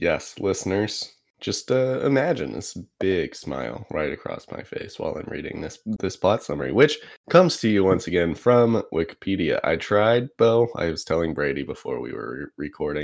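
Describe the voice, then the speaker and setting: A man's fairly low voice with vocal fry, very wide pitch swings and big swings in loudness, at a moderate pace. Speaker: podcast host. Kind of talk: casual chat.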